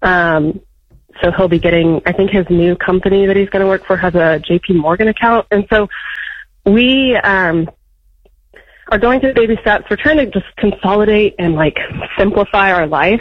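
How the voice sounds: Moderately paced, a woman talks at a medium pitch. Her pitch varies in an ordinary way.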